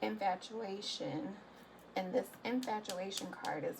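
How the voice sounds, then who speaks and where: Noticeable background noise sits behind a woman's voice at a medium pitch. Her intonation is lively. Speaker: tarot reader. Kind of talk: tarot reading monologue. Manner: hesitant, many fillers. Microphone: quiet recording.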